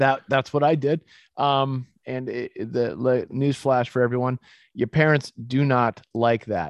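An ordinary speaking voice from a man with an American accent, medium pitch and fairly even intonation, at a fairly slow pace, with a dry, close sound with no echo and a quiet background. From Massachusetts, US (Boston area). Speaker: supplement company CEO. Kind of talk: interview, casual chat.

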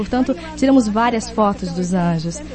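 An enthusiastic woman's voice in very wide pitch swings, with music in the background. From Kenosha, Wisconsin. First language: English (speaking Portuguese). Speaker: network marketing speaker. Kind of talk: motivational talk.

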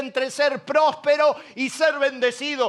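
A man speaks with a Rioplatense accent at an extremely high pitch. His tone is animated, bright and sharp. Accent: Argentine Rioplatense Spanish. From Argentina, Buenos Aires (La Matanza). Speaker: pastor. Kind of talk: sermon. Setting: church auditorium with audience.

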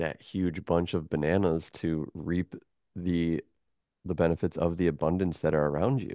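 A man with an American accent speaks at a moderate pace and a very deep, low pitch, his dark, mellow tone sounding dry and close with no echo, with fairly even intonation against a quiet background. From US Midwest, Michigan. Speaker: musician and sound healer. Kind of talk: casual chat.

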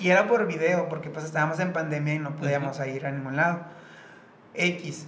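A man with a fairly high pitch talks at a fairly quick pace with fairly even intonation, with audible room echo and noticeable background noise. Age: 20s. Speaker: dancer. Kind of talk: casual chat.

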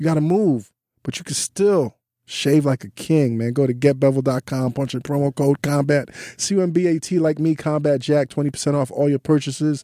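This man speaks at a moderate pace with a fairly high pitch and a dark, mellow tone, the sound dry and close with no echo. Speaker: podcast host. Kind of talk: read-out ad; casual interview chat. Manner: like an old-school radio DJ.

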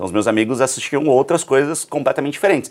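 A man talks very fast in a fairly high voice with vocal fry. His pitch swings very widely. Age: 30s. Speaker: journalist and entrepreneur. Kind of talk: casual interview. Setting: studio.

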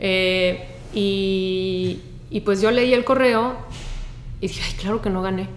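A woman speaks at a medium pitch and a very slow pace. Audible room echo and noticeable background noise surround her voice. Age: 40s. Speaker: environmental activist and beach cleanup coordinator. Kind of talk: casual chat. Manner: animated.

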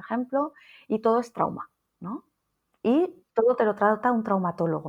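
A woman's lively intonation at a moderate pace, with long, frequent pauses. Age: 40s. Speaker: nurse and psychotherapist. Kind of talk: interview conversation. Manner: halting.

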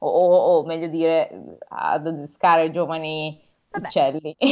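This is a woman speaking. Her pitch is fairly low. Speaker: podcast co-host. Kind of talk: casual chat. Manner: animated.

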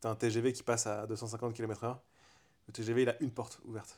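On a very clean recording with a silent background, a man speaks at a medium pitch in a monotone, flat intonation. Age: 30s. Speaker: podcast co-host, motorcycle workshop owner. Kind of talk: casual chat. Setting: at home on a couch.

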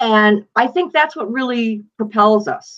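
In a Western New York accent, a woman with a fairly high pitch speaks with very wide pitch swings. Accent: Western New York American. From Buffalo, New York, US. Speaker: true crime author. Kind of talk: casual interview.

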